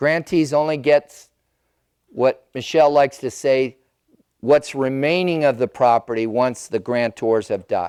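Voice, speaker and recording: On a very clean recording with a silent background, a man speaks at a medium pitch with ordinary pitch variation. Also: dry, close sound with no echo. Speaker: elder care planning advisor. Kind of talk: seminar presentation. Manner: loud.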